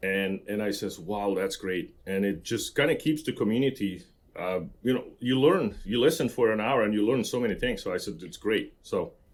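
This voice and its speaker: At a moderate pace, a man speaks with a Slovak accent. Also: medium pitch for a man, lively intonation. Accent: Slovak accent, kept. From central Slovakia. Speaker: construction professional. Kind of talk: podcast interview. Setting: remote recording with podcast mic kit.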